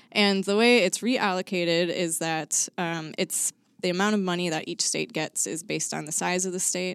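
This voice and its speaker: A normal speaking voice with an American accent moves at a moderate pace and fairly even intonation. The recording is very clean, with a silent background. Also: woman, fairly low pitch for a woman. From suburban Chicago. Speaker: state wildlife agency coordinator. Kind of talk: casual chat. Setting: studio.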